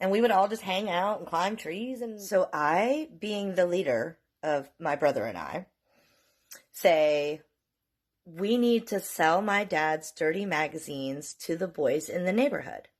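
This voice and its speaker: An American-accented woman of medium pitch speaks at a fairly slow pace, animated in tone with lively intonation, against a quiet background. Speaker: storyteller vlogger. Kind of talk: casual storytelling.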